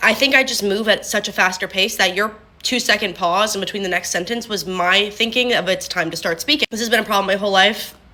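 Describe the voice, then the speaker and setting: Noticeable background noise sits behind this woman's voice. She talks at a very fast pace in a medium pitch. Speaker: content creator. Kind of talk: casual talk to camera. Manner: monotone when not on video.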